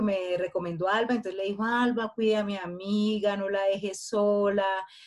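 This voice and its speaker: In a normal speaking voice, a woman talks at a moderate pace with fairly even intonation. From Colombia. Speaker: podcast co-host. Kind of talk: casual chat.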